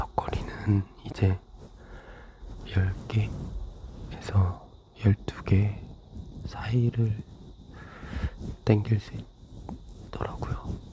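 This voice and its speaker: Someone is whispering at a very slow pace. Long, frequent pauses break up the speech. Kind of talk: ASMR casual whispered chat. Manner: whispered; soft-spoken.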